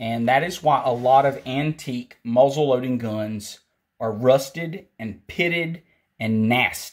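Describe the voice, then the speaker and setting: Speaking at a fairly slow pace, a man with a medium-pitched voice talks with a Southern US accent. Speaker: firearms instructor. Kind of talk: tutorial. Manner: casual.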